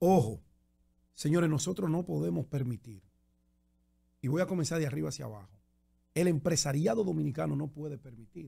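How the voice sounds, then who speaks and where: A man's dark, mellow, somewhat breathy voice, fairly high in pitch with lively intonation, at a fairly quick pace broken by long, frequent pauses. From Dominican Republic, Santo Domingo. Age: 50s. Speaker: journalist and political candidate. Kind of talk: radio interview.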